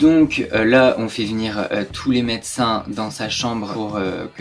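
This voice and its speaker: The speech moves at a fairly slow pace over faint music in the background. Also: man. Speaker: history storyteller. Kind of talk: casual history storytelling vlog. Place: home room.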